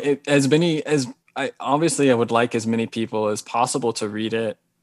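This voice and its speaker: An American accent marks this man's fairly quick speech, which has ordinary pitch variation and a dry sound with no echo over a quiet background. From Hawaii. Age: 40s. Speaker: novelist; interviewee. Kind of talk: interview. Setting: video call. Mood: calm, reflective. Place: home room. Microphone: video call.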